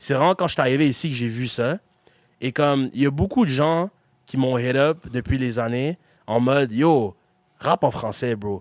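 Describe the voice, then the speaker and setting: A man speaks at a moderate pace with medium pitch and ordinary pitch variation. He leaves long, frequent pauses, and the recording is very clean with a silent background. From Quebec, Gatineau. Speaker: rapper and beatmaker. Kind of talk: interview. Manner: casual, filler-heavy.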